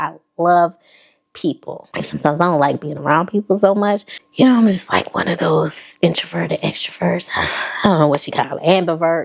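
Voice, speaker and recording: Speaking at a fairly quick pace in a Southern accent, a woman with fairly low pitch, vocal fry and ordinary pitch variation has an animated tone. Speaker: fashion vlogger. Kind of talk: casual chat.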